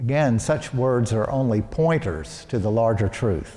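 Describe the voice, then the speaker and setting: A man's somewhat breathy voice at medium pitch, dark and mellow in tone, with an American accent and ordinary pitch variation. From US South, Arkansas (Little Rock). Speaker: priest. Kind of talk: sermon.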